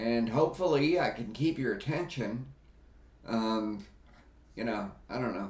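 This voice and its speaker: There is audible room echo as a man talks with lively intonation, leaving long, frequent pauses. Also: medium pitch for a man, fairly slow pace. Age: 60s. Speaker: wellness YouTuber, stroke survivor. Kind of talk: casual vlog monologue. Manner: hesitant, many fillers.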